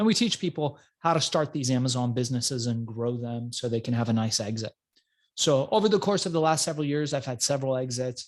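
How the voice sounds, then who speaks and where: Against a quiet background, a man talks very fast at a medium pitch with ordinary pitch variation. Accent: American. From Iran, grew up in US from childhood. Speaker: entrepreneur. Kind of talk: interview.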